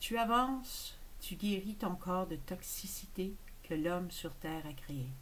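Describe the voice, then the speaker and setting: Someone speaks with a Quebec accent, and the room echo is audible. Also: woman. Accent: Québécois French. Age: 60s. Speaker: spiritual channeler. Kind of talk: casual monologue.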